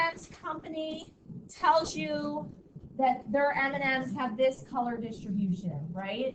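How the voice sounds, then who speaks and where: A woman's high voice with very wide pitch swings and audible room echo. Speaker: high school statistics teacher. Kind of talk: classroom lecture. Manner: loud; casual, filler-heavy.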